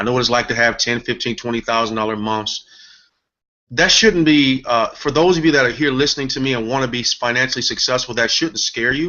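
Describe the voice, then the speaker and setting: A man with an American accent at a medium pitch, fairly quick in pace, with ordinary pitch variation. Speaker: business coach. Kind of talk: guest talk on live online show. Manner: emotional, sometimes excited.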